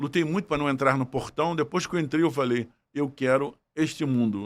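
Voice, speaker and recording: On a very clean recording with a silent background, the voice moves at a moderate pace. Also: man. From Brazil, Niterói (Rio de Janeiro state). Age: 60s. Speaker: federal judge and law professor. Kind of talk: podcast interview, life story. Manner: reflective, with hesitations.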